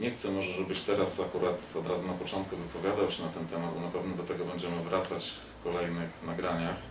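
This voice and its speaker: The speaker talks at a very fast pace in a Polish accent, with monotone, flat intonation. Noticeable background noise runs underneath. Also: man, very deep, low pitch for a man. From Poland. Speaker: political talk show host. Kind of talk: casual interview. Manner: halting. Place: home room. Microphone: camera far.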